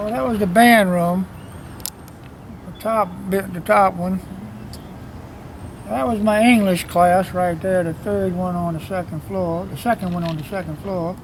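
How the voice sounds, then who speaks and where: Amid noticeable background noise, the voice moves at a fairly slow pace with ordinary pitch variation and long, frequent pauses. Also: man, high pitch for a man. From New Orleans, Louisiana (Irish Channel). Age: 70s. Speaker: local musician and songwriter. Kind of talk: casual interview on location. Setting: outdoors on a street.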